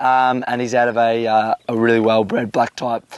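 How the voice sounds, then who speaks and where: This man speaks with an Australian accent. The sound is dry and close, with no echo. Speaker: horse trainer. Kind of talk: casual chat. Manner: hesitant, many fillers.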